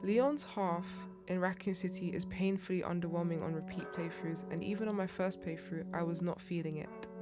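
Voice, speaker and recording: Over music in the background, a woman talks at a moderate pace with fairly even intonation. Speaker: gaming YouTuber. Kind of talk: gaming tier list commentary.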